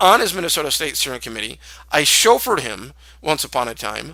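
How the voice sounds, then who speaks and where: A man speaks at a moderate pace. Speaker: political commentator, former campaign worker. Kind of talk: political commentary to camera.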